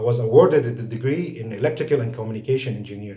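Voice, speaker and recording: A man with a dark, mellow tone and a somewhat breathy voice talks at a very fast pace with audible room echo. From Lebanon. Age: 40s. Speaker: scholarship applicant, engineer. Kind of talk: video application pitch. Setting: home recording. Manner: halting.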